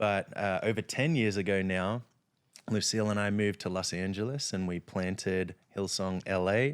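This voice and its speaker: A fairly low-pitched man with an Australian accent, fairly even intonation, and a very clean recording with a silent background. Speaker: pastor. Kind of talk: casual chat. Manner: halting.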